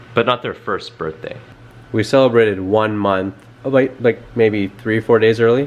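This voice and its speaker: A man speaks at a medium pitch and a fairly slow pace, with ordinary pitch variation over noticeable background noise. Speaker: vlogger, new father of twins. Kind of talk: casual chat.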